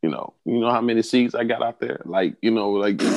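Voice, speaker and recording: Recorded with a dry, close sound and no echo, the speaker has a Southern US accent. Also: man. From US South. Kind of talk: casual chat. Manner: animated.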